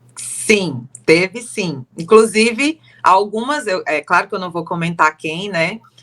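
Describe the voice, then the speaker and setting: A woman at medium pitch talks at a very slow pace with lively intonation, recorded dry and close with no echo. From Brazil, Fortaleza (Ceará). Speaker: timeshare sales consultant. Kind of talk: casual interview chat.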